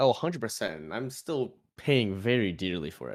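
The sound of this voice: A man speaks at a fairly low pitch with a raspy voice and big pitch swings. The pace is moderate, and the recording is very clean with a silent background.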